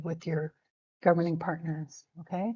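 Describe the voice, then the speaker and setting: This woman talks at a moderate pace in a fairly low, somewhat breathy voice with a dark, mellow tone and monotone, flat intonation. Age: 60s. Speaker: First Nations educator. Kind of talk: informal lecture. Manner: conversational, with frequent fillers.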